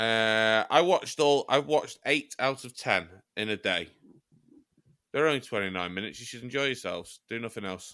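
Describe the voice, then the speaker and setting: At a moderate pace, the voice has lively intonation, a bright, sharp tone and big swings in loudness, on a very clean recording with a silent background. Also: man, medium pitch for a man. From England, Chester. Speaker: podcast co-host. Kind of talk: casual comedic chat.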